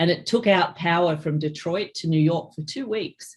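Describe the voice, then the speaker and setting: A woman with an Australian accent speaks at a moderate pace, somewhat breathy, with a very deep, low pitch. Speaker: cybersecurity executive. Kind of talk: interview.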